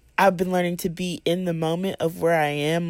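A woman's plain, everyday voice, fairly low in pitch, at a moderate pace on a very clean recording with a silent background. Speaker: college student. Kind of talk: personal faith testimony.

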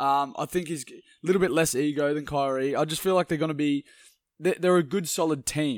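Speaking with an Australian accent, a man with a fairly high pitch keeps his intonation fairly even on a very clean recording with a silent background. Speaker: sports podcast co-host. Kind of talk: casual sports chat.

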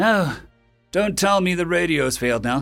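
At a fairly slow pace, a man uses a put-on character voice with a high pitch, a fairly bright tone and vocal fry. His intonation is lively, and the very clean recording has a silent background with faint music behind it.

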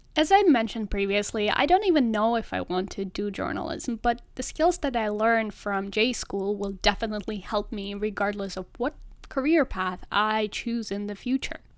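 With a Russian accent, the speaker goes on with hardly any pauses in a very clean recording with a silent background. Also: woman, fairly high pitch for a woman, ordinary pitch variation, moderate pace. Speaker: podcast host, journalism student. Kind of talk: solo podcast monologue.

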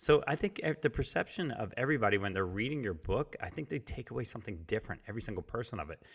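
An animated man with an American accent speaks very fast at a medium pitch with lively intonation, on a very clean recording with a silent background. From New Jersey. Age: 40s. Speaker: podcast host and entrepreneur. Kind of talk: interview.

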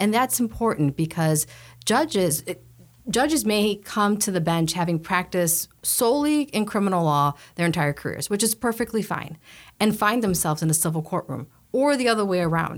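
In a very clean recording with a silent background, a woman with an American accent speaks at a moderate pace and medium pitch, her loudness very even while her pitch swings very widely. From Chicago, northwest side. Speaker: lawyer and judicial candidate. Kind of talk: panel interview. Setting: studio.

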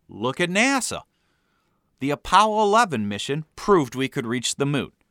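In a very clean recording with a silent background and a dry, close sound with no echo, a man with an American accent speaks at a moderate pace in a fairly high pitch, with a bright, sharp tone and very wide pitch swings. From US Midwest. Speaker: author narrating his memoir. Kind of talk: scripted narration.

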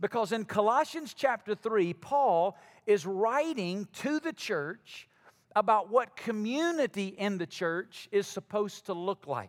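Speaking in an Alabama accent, a man talks at a fairly slow pace with a high pitch and lively intonation. The recording is very clean, with a silent background and a dry, close sound with no echo. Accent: Alabama Southern. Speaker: pastor. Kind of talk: sermon. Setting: church.

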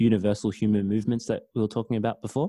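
This man speaks with an Australian accent at a fairly low pitch. His tone is dark and mellow. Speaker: podcast host. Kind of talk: interview. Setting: video call.

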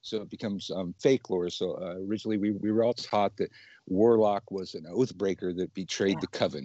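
A man with an American accent speaks in a plain, everyday voice at a fairly quick pace. His pitch is fairly low, with ordinary pitch variation. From US West, southern California. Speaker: witchcraft teacher. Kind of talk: casual chat. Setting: video call.

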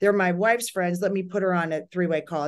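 Against a quiet background, a woman with a plain, everyday voice speaks at a medium pitch and a fairly quick pace. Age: 50s. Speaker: psychic. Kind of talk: casual interview conversation.

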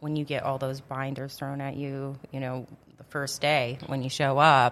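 A woman with a very deep, low pitch speaks at a moderate pace in a flat monotone, recorded very cleanly over a silent background. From US Upper Midwest, Grand Forks, North Dakota. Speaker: city council member. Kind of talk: casual interview. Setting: studio.

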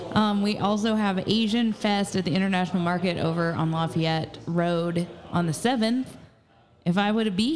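Speaking in an ordinary speaking voice with an American accent, a woman holds a medium pitch and a moderate pace. Her loudness stays very even, with ordinary pitch variation. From Southern Indiana, Jasper. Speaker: assistant producer and co-host. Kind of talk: casual chat. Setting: live recording in a tap room.

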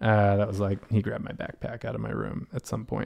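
Against a quiet background, a man with an American accent speaks at a fairly low pitch. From western Massachusetts, US. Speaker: hostel owner and sustainability NGO founder. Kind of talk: casual chat.

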